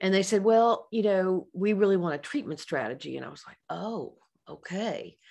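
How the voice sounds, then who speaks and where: Over a quiet background, a woman speaks at a medium pitch with ordinary pitch variation. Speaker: psychologist and author. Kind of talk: professional webinar lecture. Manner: fast.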